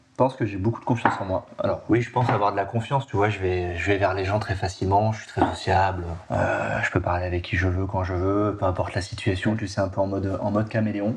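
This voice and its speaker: Noticeable background noise sits under a man speaking at fairly low pitch and a fairly quick pace with fairly even intonation. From Nice, southern France. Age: 30s. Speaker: guest, father and university lecturer. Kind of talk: podcast interview. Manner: casual, many fillers.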